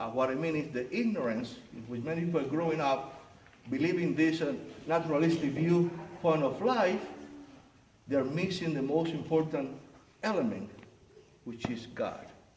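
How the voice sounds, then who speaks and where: A man's fairly high voice at a moderate pace, with long, frequent pauses, audible room echo and noticeable background noise. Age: 60s. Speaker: pastor. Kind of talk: sermon.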